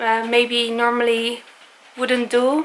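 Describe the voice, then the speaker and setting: A woman speaks with a non-native accent. Her pitch is high. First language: not English. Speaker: travel vlogger. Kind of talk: casual vlog monologue. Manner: halting, many fillers.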